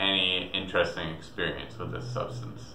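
A man talks at a fairly slow pace in a very deep, low voice. There is audible room echo and light background noise. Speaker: storyteller vlogger. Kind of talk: casual vlog storytelling. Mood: relaxed, reflective, amused. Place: home room.

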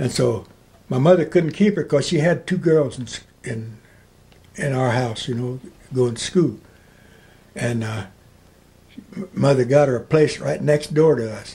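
A somewhat breathy man with a dark, mellow tone, lively intonation, a moderate pace and long, frequent pauses. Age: 80s+. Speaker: oral history interviewee. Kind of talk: interview answer. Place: home room. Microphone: camera far.

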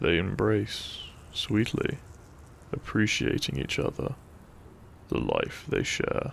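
Speaking slowly, a man with a fairly low pitch and vocal fry makes very wide pitch swings.

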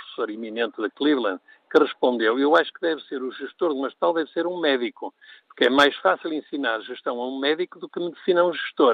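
The recording is a dry sound with no echo and a quiet background, with speech at a fairly quick pace. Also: man. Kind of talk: radio call-in commentary.

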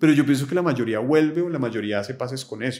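His intonation is lively. The man rushes through his words at a very fast pace. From Colombia, Bogotá. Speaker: philosopher; podcast guest. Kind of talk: casual interview conversation. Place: home room. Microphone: studio mic.

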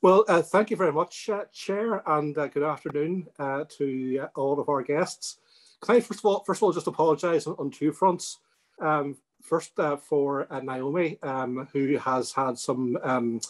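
In a Northern Irish accent, a man with a fairly high pitch speaks at a moderate pace with ordinary pitch variation against a quiet background. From Northern Ireland. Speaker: politician. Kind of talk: webinar address. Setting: webinar. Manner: halting, many ums and ers. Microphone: video call.

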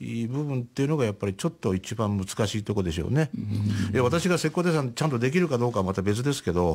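At a very fast pace, a man with a medium pitch makes very wide pitch swings over a quiet background. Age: 70s. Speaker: painter. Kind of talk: radio interview. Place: studio.

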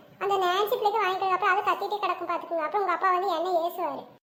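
Squeaky and at an extremely high pitch, a woman's cartoonish character voice races at a very fast pace in monotone, flat intonation. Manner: fast, scolding.

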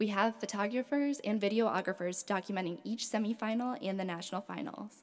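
This woman speaks at a moderate pace with ordinary variation in her pitch. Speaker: program manager. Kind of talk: formal welcome and announcements. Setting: stage with audience. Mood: warm, friendly. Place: stage. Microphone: podium.

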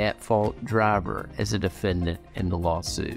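Faint music plays behind a man whose voice sits fairly low in pitch. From Kentucky. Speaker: personal injury lawyer. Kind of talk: scripted explainer. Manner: formal. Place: office.

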